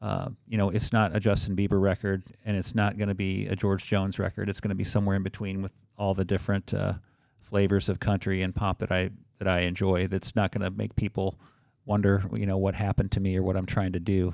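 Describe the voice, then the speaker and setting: A man with a Midwestern American accent, fairly low-pitched and monotone, talking very fast in a very clean recording with a silent background and a dry, close sound with no echo. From Southern Illinois. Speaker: teacher and musician. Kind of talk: podcast interview. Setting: studio.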